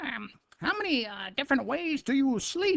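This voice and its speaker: A put-on character voice comes through pitched high. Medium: read story. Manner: hesitant, halting.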